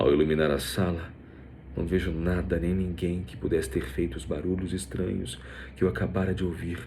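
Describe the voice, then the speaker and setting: A man with a very deep, low pitch, a dark, mellow tone and vocal fry speaks at a moderate pace with fairly even intonation, and room echo is audible. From Brazil, Rio de Janeiro. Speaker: voice actor and narrator. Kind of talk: scripted narration.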